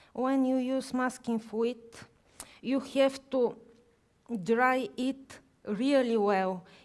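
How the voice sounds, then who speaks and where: Pausing long and often, a woman with a Bulgarian accent talks at a very slow pace in a high pitch with fairly even intonation. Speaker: watercolor artist. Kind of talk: live painting demonstration. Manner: halting.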